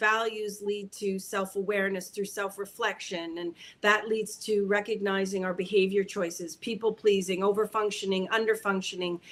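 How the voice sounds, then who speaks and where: This woman has a normal speaking voice at a medium pitch. She goes at a moderate pace with fairly even intonation. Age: 50s. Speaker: spiritual teacher. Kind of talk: livestream teaching talk. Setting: livestream.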